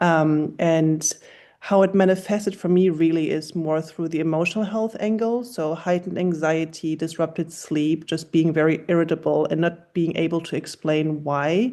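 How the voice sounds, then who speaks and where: Against a quiet background, a woman with a German accent and a fairly low, dark, mellow voice speaks at a moderate pace with fairly even intonation and hardly any pauses. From Germany. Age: 40s. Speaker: health startup founder. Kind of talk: panel discussion.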